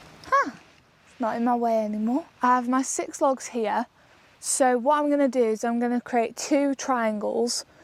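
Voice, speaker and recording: A woman with an English accent speaks at a moderate pace with fairly even intonation, the sound dry and close with no echo. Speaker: solo camper vlogger. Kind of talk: outdoor vlog narration. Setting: outdoors in a forest. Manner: quiet, hushed.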